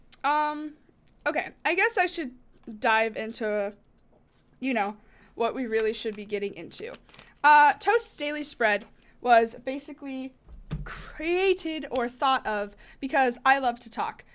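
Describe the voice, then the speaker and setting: A woman with an American accent speaks at a high pitch and a fairly slow pace, with very wide pitch swings, big swings in loudness and long, frequent pauses, on a very clean recording with a silent background. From US West, Las Vegas. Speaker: podcast host and streamer. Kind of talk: casual monologue. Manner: halting, many fillers.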